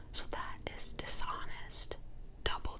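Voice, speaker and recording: A woman whispers at a very slow pace. Background noise is noticeable. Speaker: tarot reader. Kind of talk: ASMR tarot card reading. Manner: whispered; soft-spoken.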